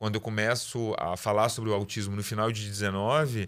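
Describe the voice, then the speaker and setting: A man talks at a very fast pace and a fairly low pitch. The recording is very clean, with a silent background. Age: 40s. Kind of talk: interview. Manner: halting, repeats words.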